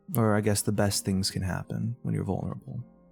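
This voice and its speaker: A man's fairly low-pitched voice with music in the background. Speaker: online content creator. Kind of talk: casual talk to camera. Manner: rambling, casual.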